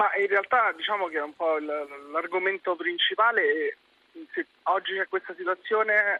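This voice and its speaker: This man has a high pitch and ordinary pitch variation, talking at a fairly quick pace. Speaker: startup founder. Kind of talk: radio interview.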